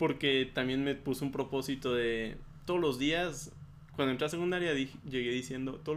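This is a normal speaking voice with fairly even intonation. The pace is fairly quick. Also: man. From Chihuahua, Mexico. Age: 20s. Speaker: podcast guest. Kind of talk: casual chat.

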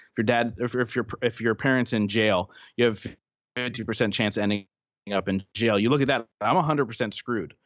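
A man's medium-pitched, unremarkable speaking voice at a fairly quick pace, with ordinary pitch variation. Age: 30s. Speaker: personal growth podcaster and event organizer. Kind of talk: interview.

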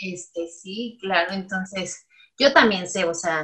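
Somewhat breathy, the woman's voice moves along at a very slow pace. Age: 30s. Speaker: dentist. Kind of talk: interview.

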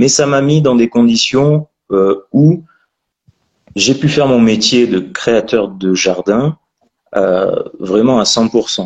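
Very slow delivery with long, frequent pauses, ordinary pitch variation and very even loudness, in a dry, close sound with no echo. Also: man, medium pitch for a man. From France, Périgord. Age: 30s. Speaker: landscaping entrepreneur. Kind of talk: interview.

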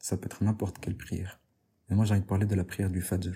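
A man's fairly low, dark and mellow voice sounds somewhat breathy, with monotone, flat intonation. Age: 20s. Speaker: podcast host, religious talk. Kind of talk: religious talk.

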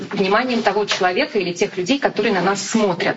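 A woman with a medium pitch is heard against noticeable background noise. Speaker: TV news anchor and correspondent. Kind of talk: live-stream talk. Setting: Instagram live broadcast. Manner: informal.

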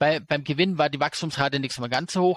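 A man with an unremarkable speaking voice talks at a fairly high pitch and a moderate pace, with fairly even intonation. The recording is very clean, with a silent background and a dry, close sound with no echo. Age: 40s. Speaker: investor and finance YouTuber. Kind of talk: casual interview.

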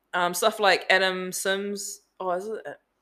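Bright and sharp in tone, a woman with a New Zealand accent speaks at a medium pitch in a very clean recording with a silent background. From New Zealand, Auckland North Shore. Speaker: business owner. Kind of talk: casual chat.

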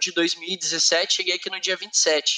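Raised and projected, a man's voice comes at a very slow pace. The intonation is monotone and flat. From southern Brazil, Curitiba. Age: 20s. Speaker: workplace safety technician and quality manager. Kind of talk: interview.

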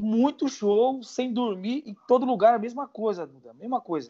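Against a quiet background, a man talks at a fairly slow pace. His tone is dark and mellow. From Brazil, São Paulo. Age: 30s. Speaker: music producer. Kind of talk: casual interview.

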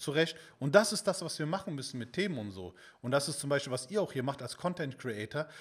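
A man speaks at a fairly quick pace in an ordinary speaking voice, his fairly high pitch moving with lively intonation. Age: 30s. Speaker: fitness content creator. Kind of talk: casual chat.

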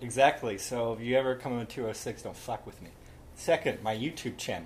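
Moving at a fairly quick pace, a man speaks in an unremarkable speaking voice. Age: 20s. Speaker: podcast guest. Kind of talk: casual chat. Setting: home recording.

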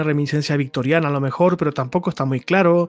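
A man talks with fairly high pitch and ordinary pitch variation. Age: 40s. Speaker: journalist and film commentator. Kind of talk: casual chat.

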